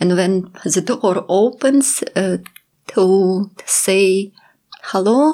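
Medium-pitched female speech, its pitch varying in an ordinary way. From Ukraine (Kyiv). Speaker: photographer. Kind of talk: interview. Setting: studio. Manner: halting.

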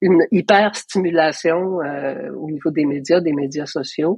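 A woman speaks at a very deep, low pitch and a very slow pace, the sound dry and close with no echo. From Quebec, Hull (Outaouais). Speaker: artist and curator. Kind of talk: interview conversation.

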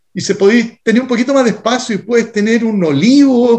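At a moderate pace, a man in a Chilean accent talks at an extremely high pitch with ordinary pitch variation. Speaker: restaurant co-owner and sustainability activist. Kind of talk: interview.

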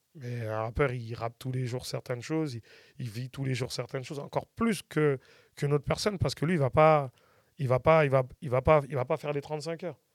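Recorded very cleanly against a silent background, a man has an ordinary speaking voice with a medium pitch and ordinary pitch variation. His fairly quick delivery has a dry, close sound with no echo. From France, Paris region. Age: 40s. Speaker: music producer and artist manager. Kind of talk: casual interview.

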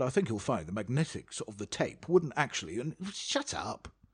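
With a British accent and vocal fry, a man speaks at a fairly quick pace with very wide pitch swings. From England. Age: 40s. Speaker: podcast host, former radio DJ. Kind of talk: casual interview chat.

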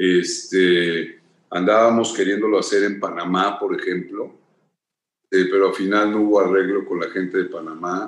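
A man speaks with a Mexican accent at a moderate pace. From Mexico. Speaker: actor and former model. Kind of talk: interview.

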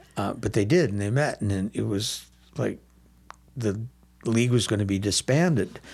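Long, frequent pauses mark a man's speech in an American accent. He talks at a moderate pace with a fairly low pitch and ordinary pitch variation. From Milwaukee, Wisconsin, US Midwest. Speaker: comedy theater founder. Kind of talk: casual interview.

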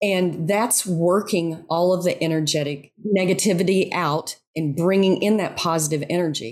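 A woman with an ordinary speaking voice and fairly low pitch talks at a moderate pace with fairly even intonation, on a very clean recording with a silent background. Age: 50s. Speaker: yoga instructor and writer. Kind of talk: interview.

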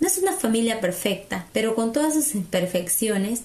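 Moderate pace, with noticeable background noise. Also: woman. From Peru, central highlands (Junín jungle area). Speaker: podcast host. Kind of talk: personal monologue.

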